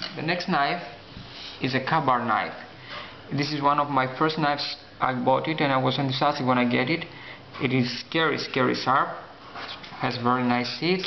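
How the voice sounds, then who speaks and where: This man talks at a moderate pace with a non-native accent, pausing often and at length. Background noise is noticeable throughout. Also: medium pitch for a man, fairly even intonation. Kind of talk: casual talk to camera.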